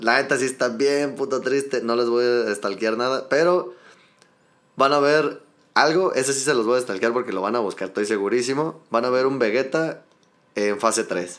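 Man with a plain, everyday voice, medium pitch, ordinary pitch variation and moderate pace. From Mexico City. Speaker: podcast guest, health sector worker. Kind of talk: casual chat.

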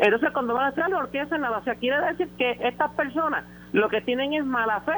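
Over noticeable background noise, a man speaks very fast at an extremely high pitch with ordinary pitch variation. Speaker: caller. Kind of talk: call-in opinion. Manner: halting, repeats words.

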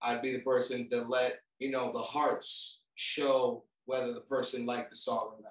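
A man with a New York accent, medium pitch, monotone flat delivery, moderate pace and hardly any pauses. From New York City. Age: 30s. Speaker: rap artist and record label owner. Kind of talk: casual interview.

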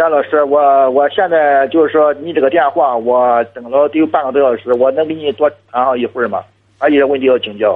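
The speaker is a man with a fairly high pitch. He moves along fairly quickly. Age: 40s. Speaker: caller, laid-off factory technician. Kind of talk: phone-in advice call. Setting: phone call. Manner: halting.

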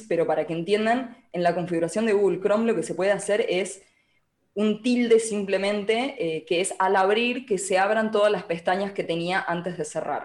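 A woman with a Rioplatense accent talks at a medium pitch. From Argentina, Buenos Aires province (Escobar). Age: 30s. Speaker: digital organization consultant. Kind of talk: podcast interview.

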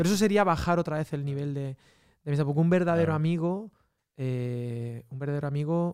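A man with a plain, everyday voice talks at a fairly quick pace and a fairly high pitch on a very clean recording with a silent background. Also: ordinary pitch variation. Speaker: podcast host. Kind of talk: casual chat.

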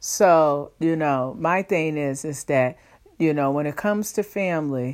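In a very clean recording with a silent background, a woman speaks in a very deep, low voice with ordinary pitch variation. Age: 50s. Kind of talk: sermon-like monologue. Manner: halting, many fillers.

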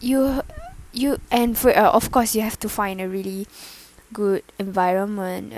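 A woman's fairly high voice with a Malaysian accent, at a fairly slow pace. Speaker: podcaster. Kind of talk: casual monologue. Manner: halting.

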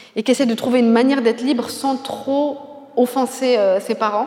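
A woman's voice with noticeable background noise. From Paris suburbs, France. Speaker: novelist. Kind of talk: literary interview on stage.

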